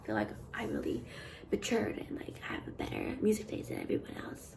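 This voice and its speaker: A woman whispers at a very fast pace. Noticeable background noise and audible room echo surround her. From western Canada (Vancouver). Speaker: art student vlogger. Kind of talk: casual vlog monologue. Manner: casual, hesitant with frequent fillers.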